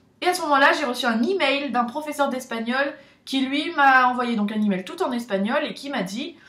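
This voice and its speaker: A woman's high voice, bright and sharp in tone, with audible echo from the room. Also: ordinary pitch variation, moderate pace. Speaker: vlogger, student abroad. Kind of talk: casual vlog talk.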